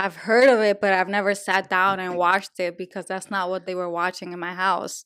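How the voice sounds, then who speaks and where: A woman with a Spanish accent and medium pitch talks at a fairly quick pace with hardly any pauses and big swings in loudness, on a very clean recording with a silent background. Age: adult. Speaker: podcast co-host. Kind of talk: casual chat. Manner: animated.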